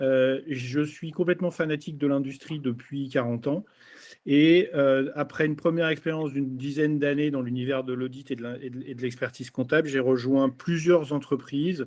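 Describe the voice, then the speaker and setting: A man talks at a moderate pace in a normal speaking voice. His pitch is fairly high and his intonation fairly even. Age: 60s. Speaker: company finance director. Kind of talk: business presentation. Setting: online webinar.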